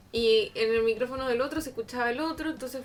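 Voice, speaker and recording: This woman has a high voice and a fairly even intonation. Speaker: podcast co-host. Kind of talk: casual chat. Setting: home studio. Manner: soft-spoken.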